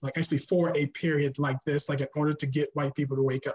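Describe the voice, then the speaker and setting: A man speaks in a somewhat breathy voice at a fairly high pitch and moderate pace, his intonation monotone and flat. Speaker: panelist, writer. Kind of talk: panel discussion. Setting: video call. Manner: halting.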